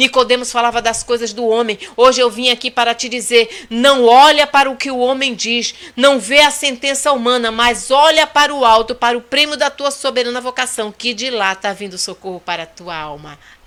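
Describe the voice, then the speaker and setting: Over noticeable background noise, the speaker talks at a moderate pace in an animated tone with big swings in loudness, ordinary pitch variation and hardly any pauses. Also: woman. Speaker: pastor. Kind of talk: sermon. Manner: soft-spoken usually; animated, fervent.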